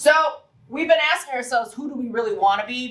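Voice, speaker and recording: A woman talks in an animated tone at a fairly high pitch. Noticeable background noise runs behind her. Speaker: workforce team presenter at hospital staff event. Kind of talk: interactive staff presentation. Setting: room with live audience. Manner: fast.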